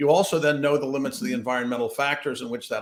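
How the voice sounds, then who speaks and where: A man speaks with a fairly high pitch. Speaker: cybersecurity researcher. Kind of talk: interview. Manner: fast; animated.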